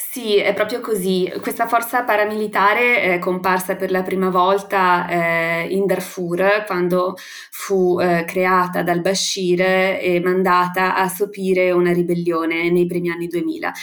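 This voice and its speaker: Against noticeable background noise, a woman of medium pitch speaks at a fairly slow pace with monotone, flat intonation. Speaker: international affairs analyst. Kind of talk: interview.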